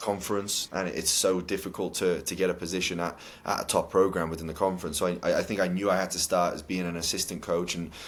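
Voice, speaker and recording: A man with a Welsh accent speaks at a very deep, low pitch in monotone, flat intonation. He talks at a very fast pace with hardly any pauses. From Cardiff, Wales. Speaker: college soccer head coach. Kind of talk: interview answer.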